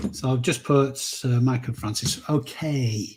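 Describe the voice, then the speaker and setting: With a northern English accent, a man speaks very slowly at a medium pitch in a somewhat breathy voice, with ordinary pitch variation. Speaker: reseller vlogger. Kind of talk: live stream giveaway. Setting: live stream with chat. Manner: casual, chatty.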